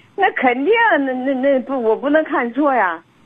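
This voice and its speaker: A woman's high-pitched voice is heard over noticeable background noise. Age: 60s. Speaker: caller. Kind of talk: phone-in advice call.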